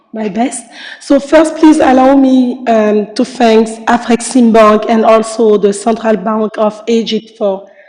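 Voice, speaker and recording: Against noticeable background noise, a woman talks at a fairly slow pace and a fairly high pitch. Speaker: panelist from international trade agency. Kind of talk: panel discussion. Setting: conference panel.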